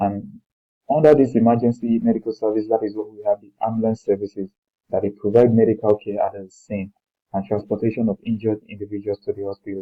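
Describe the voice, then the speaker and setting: A man's fairly low, flat monotone with a Nigerian accent, very fast, with big swings in loudness. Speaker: lecturer. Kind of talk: lecture. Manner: halting, with repetitions and fillers.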